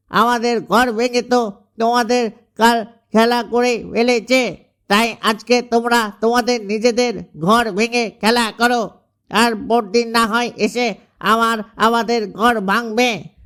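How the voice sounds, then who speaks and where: A man puts on a cartoonish character voice at an extremely high pitch. He delivers it at a moderate pace in a monotone, flat intonation. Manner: serious, worried.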